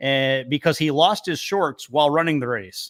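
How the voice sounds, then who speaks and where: Speaking at a moderate pace in an ordinary speaking voice, a man with a fairly high pitch is captured on a very clean recording with a silent background and a dry, close sound with no echo. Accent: American. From northern New York, near Canadian border. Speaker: podcast co-host. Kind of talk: casual chat; reading out researched facts.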